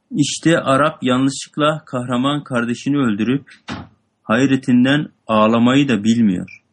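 A man speaks at a fairly slow pace with a normal speaking voice, medium pitch and ordinary pitch variation against a quiet background. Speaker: student reading text aloud. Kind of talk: reading aloud and explaining a text.

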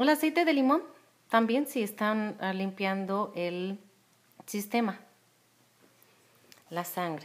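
Very slowly and with long, frequent pauses, a woman speaks with lively intonation. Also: medium pitch for a woman. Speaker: essential oil distributor. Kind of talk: cooking demonstration with product promotion, casual talk to camera. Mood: calm, friendly. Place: kitchen. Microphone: phone near.

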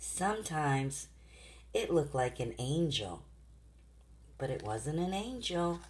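The tone is warm and gentle at a fairly slow pace. Long, frequent pauses run throughout. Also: woman. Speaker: grandmother reading to her granddaughter. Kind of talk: children's bedtime story reading. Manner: warm, gentle, interactive. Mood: gentle, warm, soothing. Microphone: phone near.

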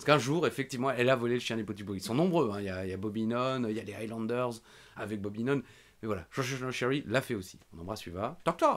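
Very fast and animated, a man speaks at medium pitch. His pitch variation is ordinary. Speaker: wrestling podcast host. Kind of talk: casual chat. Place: home room. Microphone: studio mic.

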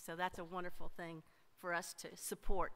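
Speaking neither fast nor slow, a woman holds a moderate pace. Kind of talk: church announcements. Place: church. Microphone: podium.

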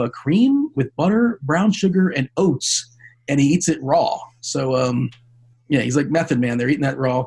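Here a man speaks at a moderate pace with a fairly high pitch and lively intonation. His voice is somewhat breathy. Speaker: fantasy sports podcast host. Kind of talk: casual chat.

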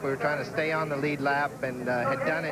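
A man at a fairly quick pace, with music in the background. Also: dry sound with no echo. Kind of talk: interview answer. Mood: calm, slightly defensive. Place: stadium. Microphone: handheld.

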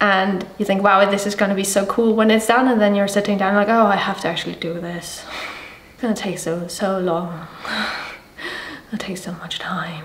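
A woman mumbling at a moderate pace with fairly even intonation, light background noise and audible room echo. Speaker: illustrator. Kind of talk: casual vlog talk to camera. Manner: mumbling, unscripted. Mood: animated, slightly exasperated. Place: home room.

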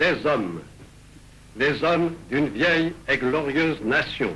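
A man speaking at a very slow pace with vocal fry. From France. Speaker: head of state. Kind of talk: political speech to the nation. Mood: grave, exhorting. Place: office. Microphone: old recording.

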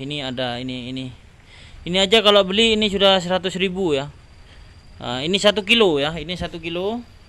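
A man with a high pitch and a bright, sharp tone talks at a fairly quick pace, leaving long, frequent pauses. His intonation is lively and his loudness swings widely. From Indonesia. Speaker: orchid seller. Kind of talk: sales pitch. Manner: animated, excitable. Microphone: phone near.

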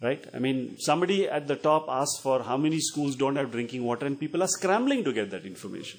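A man talks at a very fast pace with hardly any pauses. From India. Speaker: education NGO representative; panelist. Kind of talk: panel Q&A discussion. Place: meeting room. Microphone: handheld.

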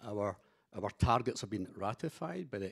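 A man speaks at a moderate pace, and the background behind him stays quiet. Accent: Scottish. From Scotland. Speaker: company executive; panelist. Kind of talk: panel discussion. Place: hall. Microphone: handheld.

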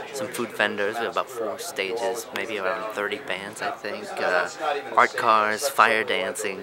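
Loud background noise fills the clip. The speaker keeps a fairly slow pace. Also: man. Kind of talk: casual interview answer. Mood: amused, joking. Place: garden. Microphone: phone near.

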